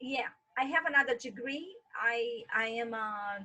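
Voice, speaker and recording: Speaking with an American accent, a woman uses a high pitch and fairly even intonation. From Brazil. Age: 40s. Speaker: tour guide. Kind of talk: interview.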